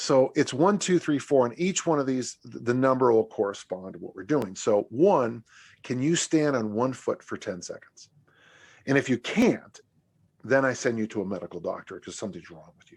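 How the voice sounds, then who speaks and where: A man in an ordinary speaking voice talks at a moderate pace with lively intonation and a medium pitch, his loudness swinging widely, on a very clean recording with a silent background. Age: 60s. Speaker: strength coach and author. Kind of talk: podcast interview.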